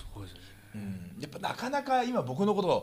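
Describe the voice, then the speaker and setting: Delivered at a moderate pace, a man's speech carries very wide pitch swings. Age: 30s. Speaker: professional wrestler and podcast host. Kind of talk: casual chat.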